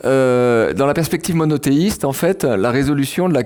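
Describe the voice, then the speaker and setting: A man speaks with a dark, mellow tone. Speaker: philosopher and writer. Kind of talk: public lecture. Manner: hesitant with fillers and repeats.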